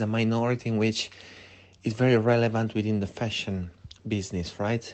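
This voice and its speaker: A man with an Italian accent speaks at a medium pitch in a monotone, flat intonation. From Italy. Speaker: fashion lecturer. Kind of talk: interview. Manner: hesitant, many fillers.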